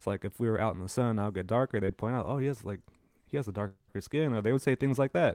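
A man with a Californian accent speaks at a very fast pace, medium in pitch with ordinary pitch variation. The recording is very clean with a silent background, dry and close with no echo. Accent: Californian American English. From San Francisco, California. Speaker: podcast co-host. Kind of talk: casual chat.

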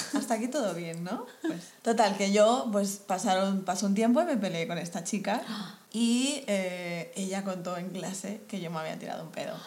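Audible room echo and noticeable background noise surround a woman of medium pitch who speaks at a moderate pace with ordinary pitch variation. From Colombia. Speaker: podcast co-host. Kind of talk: casual chat.

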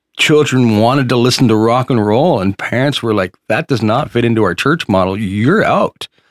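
In a dry, close sound with no echo, a man with an unremarkable speaking voice talks at a moderate pace and medium pitch, with ordinary pitch variation. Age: 40s. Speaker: podcast co-host. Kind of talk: casual chat. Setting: studio.

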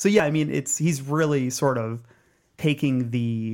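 A man at a moderate pace, a normal speaking voice, ordinary pitch variation. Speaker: film critic and writer.

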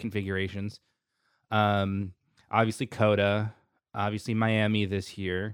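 In a very clean recording with a silent background, a man with an American accent speaks at a moderate pace in a fairly low, monotone voice with flat intonation. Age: 30s. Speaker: F1 podcast host. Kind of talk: casual chat.

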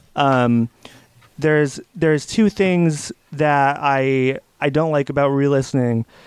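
Dry, close sound with no echo, and a man's fairly high, unremarkable speaking voice with ordinary pitch variation. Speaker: podcast co-host. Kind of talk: casual chat, book discussion podcast.

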